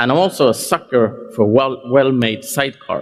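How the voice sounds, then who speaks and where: Speaking at a moderate pace with a medium pitch, a man talks with a Scandinavian accent. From Scandinavia (Sweden/Denmark). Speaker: tech company CEO. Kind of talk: conference keynote.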